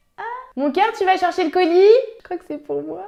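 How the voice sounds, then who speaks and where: A woman's animated tone with lively intonation. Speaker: beauty youtuber. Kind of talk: makeup tutorial.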